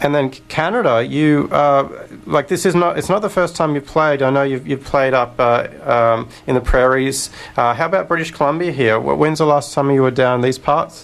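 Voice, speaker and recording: Speaking at a moderate pace with an Australian accent, a man uses a fairly high pitch and ordinary pitch variation. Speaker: radio host. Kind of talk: radio interview.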